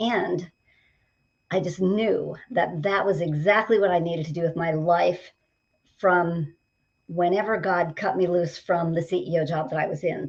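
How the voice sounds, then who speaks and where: A woman talks at a moderate pace in a fairly low pitch, with ordinary pitch variation and an unremarkable speaking voice. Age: 60s. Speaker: leadership coach. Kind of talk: casual interview. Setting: studio.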